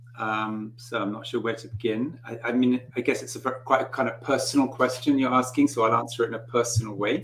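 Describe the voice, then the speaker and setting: A man with a medium pitch talks at a moderate pace while noticeable background noise carries on. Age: 60s. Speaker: author and spiritual teacher. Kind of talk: interview. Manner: halting.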